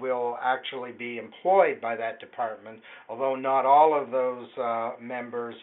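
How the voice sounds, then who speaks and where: The speaker is a man. He goes at a fairly slow pace. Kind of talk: answer to a caller's question. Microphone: phone line.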